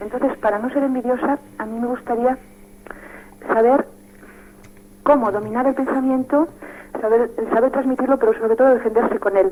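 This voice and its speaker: Against noticeable background noise, a woman with a high pitch and fairly even intonation talks at a moderate pace, leaving long, frequent pauses. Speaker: radio caller. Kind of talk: call-in question. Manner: soft-spoken; hesitant.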